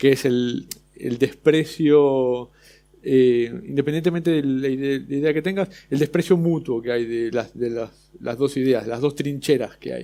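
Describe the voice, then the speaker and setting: A fairly high-pitched man in an Argentine accent, with a dark, mellow tone, a fairly slow pace and ordinary pitch variation. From Argentina. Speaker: illustrator. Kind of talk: panel discussion. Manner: halting.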